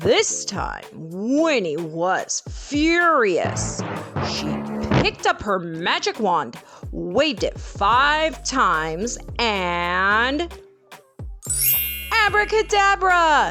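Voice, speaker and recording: A woman with an American accent speaks at a very slow pace, leaving long, frequent pauses, with music in the background. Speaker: English tutor. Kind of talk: children's story reading.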